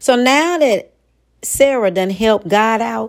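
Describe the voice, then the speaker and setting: The tone is animated and warm, captured in a very clean recording with a silent background. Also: woman. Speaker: preacher and podcast host. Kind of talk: sermon to women, preached in full flow with call-and-response style. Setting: podcast recording. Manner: animated, exhortative, rhythmic repetition with laughter; warm, emphatic, building cadence.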